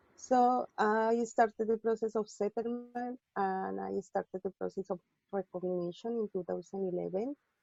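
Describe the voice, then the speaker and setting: A woman with a Spanish accent at medium pitch, moderate pace and fairly even intonation, with music in the background. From Colombia. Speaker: physician and public health worker. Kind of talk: personal testimony on panel.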